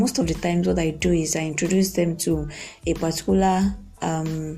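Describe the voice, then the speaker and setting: A woman at a moderate pace with music in the background. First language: not English. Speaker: podcast host and author. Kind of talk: casual podcast monologue. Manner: halting, many fillers.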